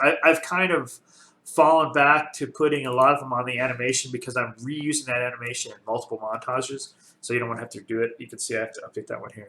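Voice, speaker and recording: A man talks at a very fast pace. His tone is bright and sharp. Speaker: game development tutorial creator. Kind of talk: tutorial. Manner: casual with many fillers.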